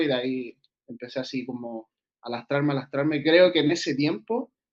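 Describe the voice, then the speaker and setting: A man with a Chilean accent, fairly high in pitch, at a moderate pace with ordinary pitch variation. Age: 20s. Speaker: streetlifting athlete. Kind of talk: interview.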